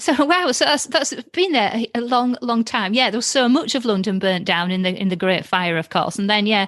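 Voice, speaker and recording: Over noticeable background noise, a woman with a fairly high pitch talks at a moderate pace with lively intonation and hardly any pauses. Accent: Yorkshire. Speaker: podcast host. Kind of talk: casual chat. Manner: animated.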